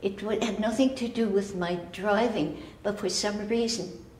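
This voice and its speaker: Over noticeable background noise and audible room echo, a woman speaks at a medium pitch and fairly slow pace with fairly even intonation. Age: 90s. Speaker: rescued driver. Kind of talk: news interview. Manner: halting.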